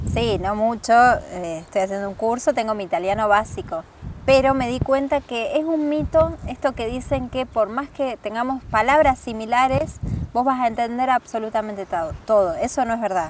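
A plain, everyday voice from a woman, fairly high-pitched and lively in intonation, at a moderate pace. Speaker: traveler. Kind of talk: casual chat. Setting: outdoors on a windy hill.

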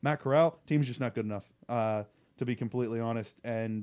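This is a plain, everyday voice. The recording is very clean, with a silent background. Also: man. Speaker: co-host sports radio. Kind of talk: radio sports talk show, banter. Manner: quick, quippy, joking.

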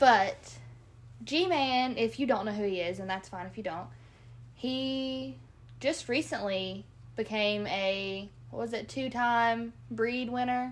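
A woman talks at a very slow pace with lively intonation. Her pitch is fairly high. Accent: Kentucky. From Kentucky. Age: 20s. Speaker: co-host, nurse and hunter. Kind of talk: casual chat.

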